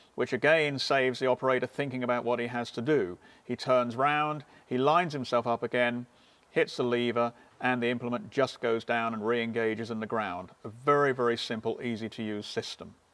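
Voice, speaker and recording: Fairly even intonation marks this man's speech, delivered at a fairly quick pace. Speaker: presenter. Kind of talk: tutorial. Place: farm machine.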